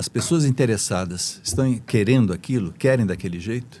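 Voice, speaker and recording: A dark, mellow tone carries a man's lively intonation, captured in a very clean recording against a silent background. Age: 70s. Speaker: engineer and business mentor. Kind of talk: podcast interview. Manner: hesitant, many fillers.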